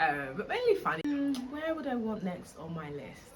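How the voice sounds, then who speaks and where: Speaking at a fairly quick pace with a British accent, a woman swings her pitch very widely, with noticeable background noise and audible room echo. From England (Essex, London). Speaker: travel vlogger. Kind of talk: casual vlog monologue.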